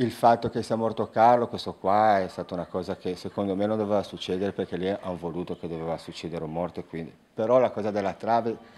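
A man talks at a fairly quick pace, his fairly low pitch showing ordinary variation. Faint music plays in the background. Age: 40s. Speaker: protester, unemployed bar owner; interviewee. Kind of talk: interview. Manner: halting. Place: home room. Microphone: handheld.

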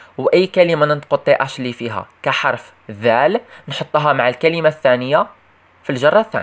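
Speaking with an Algerian accent, a man uses a fairly high pitch, lively intonation and a moderate pace. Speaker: English teacher for primary pupils. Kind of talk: tutorial.

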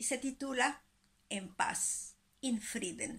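A woman's fairly high voice with vocal fry and ordinary pitch variation. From Mexico. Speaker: dance teacher. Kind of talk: poetry reading. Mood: calm, solemn. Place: home room. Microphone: phone near.

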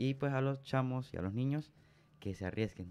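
A man's speech moves fairly quickly, with ordinary pitch variation. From Venezuela, southern Táchira state. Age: young. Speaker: seminarian; radio guest. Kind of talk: radio interview testimony. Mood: earnest, warm. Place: studio. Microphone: studio mic.

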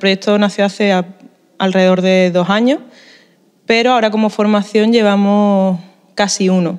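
Against a quiet background, a woman talks. Her intonation is monotone and flat. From Spain, Málaga (Andalusia); Andalusia, Spain. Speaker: musician, band leader. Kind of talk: interview; interview answer. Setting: at a music festival in a museum. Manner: hesitant, many fillers and repetitions. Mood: grateful, thoughtful. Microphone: handheld.

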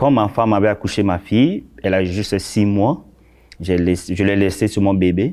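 Against a quiet background, a man with a fairly low pitch speaks at a fairly slow pace in a dark, mellow tone. His loudness stays very even and his intonation fairly even. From Central African Republic. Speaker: shopkeeper, former carpenter; interview guest. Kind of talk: interview. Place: studio. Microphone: lapel.

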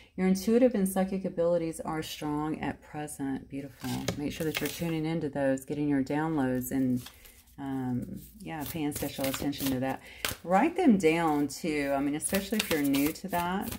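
Over noticeable background noise, a woman with a very deep, low pitch speaks at a moderate pace. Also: ordinary pitch variation. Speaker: card reader. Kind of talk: card reading commentary. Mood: warm, encouraging. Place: home room. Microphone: phone near.

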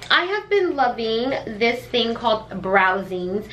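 Over light background noise, a woman talks at a fairly slow pace with very wide pitch swings. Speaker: beauty vlogger. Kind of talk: casual vlog chat. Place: kitchen. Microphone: camera far.

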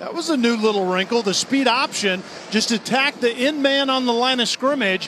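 Noticeable background noise sits under a man's raised, projected voice, which is extremely high in pitch, moves at a moderate pace, and shows ordinary pitch variation. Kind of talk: live sports commentary, analysis. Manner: measured, explanatory, conversational.

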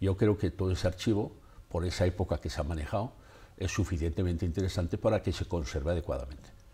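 Speaking at a very fast pace, a man with a very deep, low pitch sounds somewhat breathy and has a dark, mellow tone with ordinary pitch variation. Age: 70s. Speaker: photographer; interviewee. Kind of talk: interview. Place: studio. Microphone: lapel.

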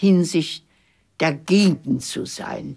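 A woman is speaking. Her background is quiet. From Germany. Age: 80s+. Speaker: former secretary, documentary interviewee. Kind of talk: interview answer. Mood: reflective, somber recollection. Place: studio.

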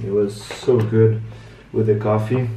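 With audible room echo and light background noise, a man speaks at a fairly slow pace in monotone, flat intonation. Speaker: travel vlogger. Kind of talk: casual vlog chat. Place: home room. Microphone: phone near.

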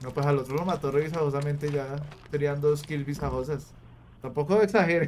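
Over light background noise, a man with a Colombian accent talks at a fairly quick pace with fairly even intonation. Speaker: gaming streamer. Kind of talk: live gameplay commentary. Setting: live stream. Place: home room. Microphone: studio mic.

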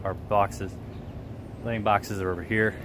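A man speaks at a moderate pace in a fairly low voice. The sound is dry with no echo, over noticeable background noise. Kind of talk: casual vlog tour. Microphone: phone near.

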